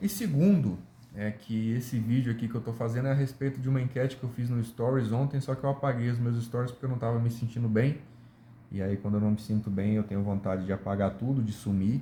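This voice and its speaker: A man's dark, mellow, somewhat breathy voice at medium pitch, with ordinary pitch variation and a very fast pace. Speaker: YouTuber. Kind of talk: casual monologue. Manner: relaxed.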